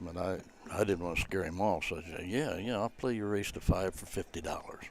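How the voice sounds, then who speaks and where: A man is speaking. His pace is moderate. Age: 80s+. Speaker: pool player, guest commentator. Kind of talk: casual chat.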